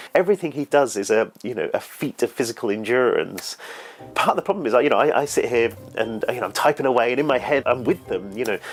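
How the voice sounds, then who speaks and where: With music in the background, the speaker talks at a very fast pace with lively intonation. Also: man, medium pitch for a man. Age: 30s. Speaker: children's author. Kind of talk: interview testimony. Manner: halting.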